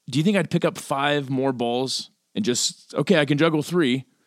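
This man has a normal speaking voice, pitched fairly high, with lively intonation. The sound is dry and close, with no echo. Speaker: podcast co-host. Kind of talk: casual chat.

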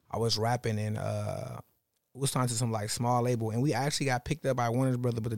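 A man's medium-pitched voice at a very fast pace, fairly even in intonation, on a very clean recording with a silent background. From Los Angeles, US West Coast. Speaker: clothing store owner and designer. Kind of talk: casual chat.

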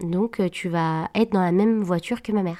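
The recording is very clean, with a silent background and a dry, close sound with no echo. A woman at a medium pitch talks at a fairly slow pace with ordinary pitch variation. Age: 20s. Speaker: podcast guest sharing a love story. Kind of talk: personal testimony. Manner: hesitant, many fillers.

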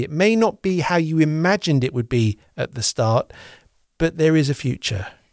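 Recorded very cleanly against a silent background, a man speaks in an unremarkable speaking voice, fairly high-pitched, with lively intonation. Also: dry, close sound with no echo. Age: 40s. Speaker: podcast host. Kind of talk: podcast interview.

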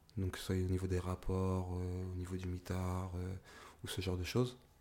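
A man's very deep, low pitch and dark, mellow tone. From France, Paris region (Argenteuil). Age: 20s. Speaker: entrepreneur, former prisoner. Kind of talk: interview, life story.

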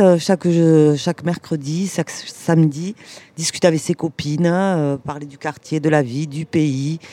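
A woman's dark, mellow tone at a fairly low pitch and very slow pace. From Toulouse, France. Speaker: community activist. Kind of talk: casual interview.

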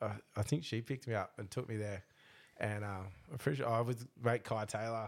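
A man with an Australian accent at a fairly quick pace, his intonation fairly even, on a very clean recording with a silent background. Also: medium pitch for a man. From Australia, Melbourne eastern suburbs. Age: 30s. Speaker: boat racing driver. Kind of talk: casual chat. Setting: studio.

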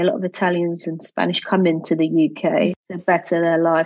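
Delivered at a moderate pace, the speech comes in an English accent. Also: woman. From England. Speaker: entrepreneur and children's book publisher. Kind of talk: interview.

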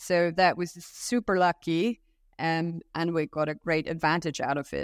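Recorded very cleanly against a silent background, with a dry, close sound and no echo, the voice has a German accent, fairly even intonation and a fairly slow pace. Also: woman, fairly low pitch for a woman. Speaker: company co-founder. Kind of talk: interview. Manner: hesitant, frequent fillers.

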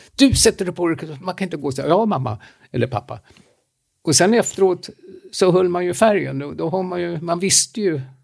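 A man talks at a fairly quick pace with a high pitch. His intonation is lively. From Romania. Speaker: podcast co-host. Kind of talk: casual chat.

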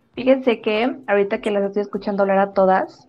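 Talking at a fairly quick pace, the woman has an ordinary speaking voice with medium pitch and fairly even intonation. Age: 20s. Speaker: podcast host. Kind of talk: casual chat.

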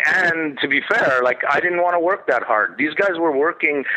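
A man rushes through his words at a very fast pace, with noticeable background noise behind him. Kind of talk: interview recollection. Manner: halting, many fillers.

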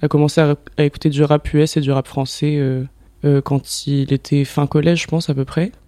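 Fairly high in pitch for a man yet dark and mellow in tone, his voice moves at a moderate pace with monotone, flat intonation. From southern France. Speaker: photographer and director. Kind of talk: casual chat.

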